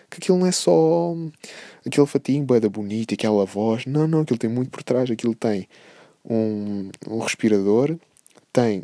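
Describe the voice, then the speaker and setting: A man speaks in a European Portuguese accent with a dark, mellow tone and ordinary pitch variation. The sound is dry and close, with no echo. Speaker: podcast host. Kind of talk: casual monologue. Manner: animated.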